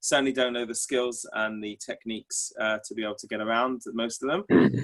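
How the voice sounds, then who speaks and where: A man with an English accent, medium pitch and a monotone, flat intonation, at a moderate pace with big swings in loudness. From England. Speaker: tour organizer, course student. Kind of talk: self-introduction in class. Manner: halting.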